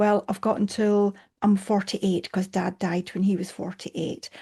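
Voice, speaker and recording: A woman with a dark, mellow, somewhat breathy tone speaks in a monotone, flat intonation at a moderate pace against a quiet background. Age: 60s. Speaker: coach. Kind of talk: casual chat.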